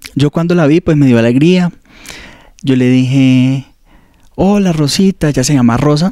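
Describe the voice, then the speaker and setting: A man speaks at a fairly high pitch, with ordinary pitch variation and very even loudness. Long, frequent pauses break his speech, and the sound is dry with no echo against a quiet background. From Colombia, Ibagué. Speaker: seminarian. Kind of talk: testimony. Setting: studio. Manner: halting. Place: office. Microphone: handheld.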